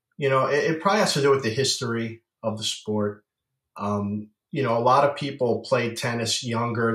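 At a moderate pace, a man with an ordinary speaking voice talks at a medium pitch with fairly even intonation. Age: 50s. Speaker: pickleball paddle company founder. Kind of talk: casual interview.

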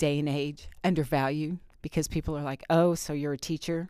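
In a very clean recording with a silent background, a woman with an American accent speaks with a very deep, low pitch and fairly even intonation. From Indiana, US Midwest. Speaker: teacher. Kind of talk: interview.

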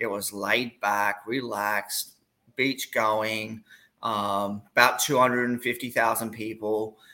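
A man with an Australian accent, medium in pitch, bright and sharp in tone, very slow and monotone with flat intonation. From Australia, Gold Coast. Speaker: college soccer coach. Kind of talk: casual interview. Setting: video call.

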